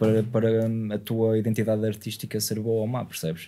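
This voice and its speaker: Dark and mellow in tone, a man speaks at a fairly low pitch. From Gondomar, Portugal. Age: 20s. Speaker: podcast host. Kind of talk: casual podcast conversation. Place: studio. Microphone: studio mic.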